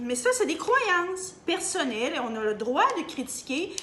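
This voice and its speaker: In a Canadian French accent, a woman speaks at a fairly slow pace with an animated tone and very wide pitch swings, amid audible room echo. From Canada. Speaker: opinion vlogger. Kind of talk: opinion monologue. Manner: halting.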